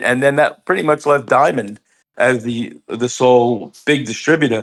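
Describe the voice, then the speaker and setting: The speaker has a New York accent, captured in a very clean recording with a silent background. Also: man. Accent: New York American. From US, New York. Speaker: comic book store owner. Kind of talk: casual interview.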